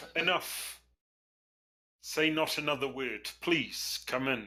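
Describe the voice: A man puts on a character voice, fairly high in pitch and shaky. He speaks at a fairly slow pace with ordinary pitch variation.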